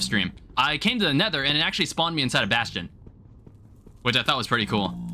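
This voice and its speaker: Very wide pitch swings mark a man's bright, sharp voice with vocal fry as he talks at a very fast pace. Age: 20s. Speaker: gaming streamer. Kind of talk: live gameplay stream commentary. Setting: live stream. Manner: casual, conversational.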